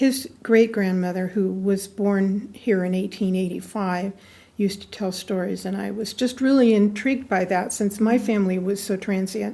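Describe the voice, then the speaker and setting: A woman's medium-pitched, somewhat breathy voice with a dark, mellow tone, fairly even intonation and a moderate pace, in a very clean recording with a silent background. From US West, northern California (Susanville). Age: 70s. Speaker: local historian, historical society secretary. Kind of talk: interview. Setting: museum.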